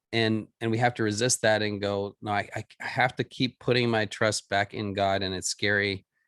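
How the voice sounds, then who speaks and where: A man's medium-pitched voice has a bright, sharp tone, heard on a very clean recording with a silent background and a dry, close sound with no echo. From Florida, US. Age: 50s. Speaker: minister. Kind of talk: podcast interview. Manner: halting, many repetitions.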